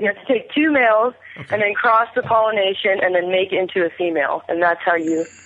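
Noticeable background noise sits behind a woman speaking at a very fast pace. Her medium pitch has ordinary variation, and her loudness stays very even. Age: 20s. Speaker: pageant winner, dispensary worker. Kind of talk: casual chat.

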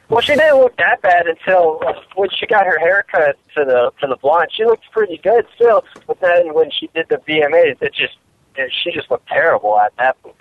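A high-pitched man's voice with very wide pitch swings. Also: moderate pace. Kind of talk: casual chat.

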